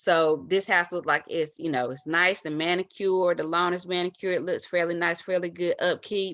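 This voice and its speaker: Her pitch is fairly low, and the woman's intonation stays fairly even. She speaks with hardly any pauses against a quiet background. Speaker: real estate investor. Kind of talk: tutorial. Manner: halting, many fillers; fast. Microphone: webcam.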